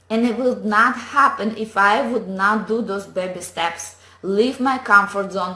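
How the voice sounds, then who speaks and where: With noticeable background noise and audible room echo, a woman speaks at a fairly high pitch with ordinary pitch variation. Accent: non-native. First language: not English. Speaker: online business coach. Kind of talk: motivational talk to camera. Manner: animated.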